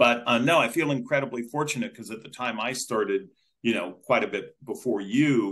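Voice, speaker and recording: In a normal speaking voice, a man talks at a medium pitch and a moderate pace. His intonation is lively. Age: 60s. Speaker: newspaper reporter. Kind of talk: interview.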